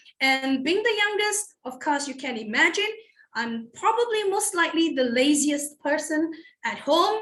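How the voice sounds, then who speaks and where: At a moderate pace, a woman with a Malaysian accent speaks in a high pitch with very wide pitch swings. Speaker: toastmasters club member. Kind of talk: personal introduction speech.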